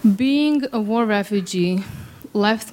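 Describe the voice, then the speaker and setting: There is noticeable background noise behind a woman's voice. Her pitch moves with ordinary variation. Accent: Serbo-Croatian. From Bosnia (Sarajevo). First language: Serbo-Croatian. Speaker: theoretical physicist. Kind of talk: storytelling. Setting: stage with audience.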